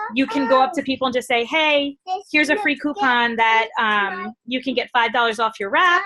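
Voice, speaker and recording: A woman's high-pitched, raised and projected voice. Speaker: network marketing team leader. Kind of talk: training call. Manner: fast.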